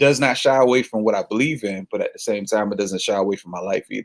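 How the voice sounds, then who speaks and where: A man with a Southern US accent in a dry, close sound with no echo. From Florida. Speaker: gospel singer-songwriter. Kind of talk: casual interview. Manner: casual.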